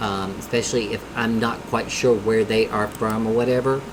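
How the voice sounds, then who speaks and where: Spoken at a moderate pace over noticeable background noise, the voice has a strong Southern US accent. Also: man. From US South. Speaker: music reaction youtuber. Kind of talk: casual reaction commentary.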